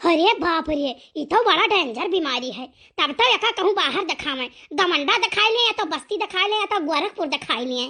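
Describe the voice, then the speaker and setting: A cartoonish character voice that sounds female speaks at a moderate pace in an extremely high pitch. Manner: dramatic, fussy.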